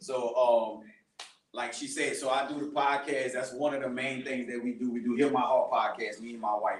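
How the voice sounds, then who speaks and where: A man with a medium-pitched voice speaks with fairly even intonation, and the room echo is audible. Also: moderate pace. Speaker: podcaster and ministry speaker. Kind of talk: testimony talk to a church youth group. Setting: live event with audience, recorded. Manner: loud; casual, conversational. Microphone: speaking without a microphone.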